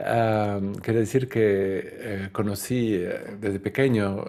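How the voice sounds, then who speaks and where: Fairly even intonation and a non-native accent come through on a very clean recording with a silent background. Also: man. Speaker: spiritual lecturer. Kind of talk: lecture. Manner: halting, many fillers.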